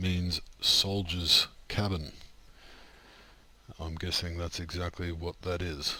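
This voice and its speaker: At a very slow pace, a man with an Australian accent speaks in a very deep, low pitch with a bright, sharp tone. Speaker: video game streamer. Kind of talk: gameplay commentary. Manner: casual, relaxed.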